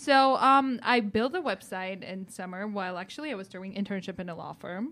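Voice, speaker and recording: In a Georgian accent, a woman speaks quickly at a medium pitch in a bright, sharp tone, with ordinary pitch variation and big swings in loudness. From country of Georgia. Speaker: tech startup founder. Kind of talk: interview. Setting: studio.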